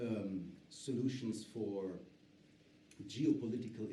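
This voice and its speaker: A man with a German accent speaks at a medium pitch, somewhat breathy, with ordinary pitch variation. His tone is dark and mellow, with audible room echo. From Germany. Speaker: politician and author. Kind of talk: panel discussion. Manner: halting, many fillers.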